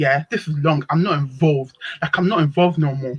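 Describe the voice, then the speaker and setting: A somewhat breathy woman's voice, animated in tone, at a moderate pace. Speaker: open panel participant. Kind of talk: storytelling on live panel stream.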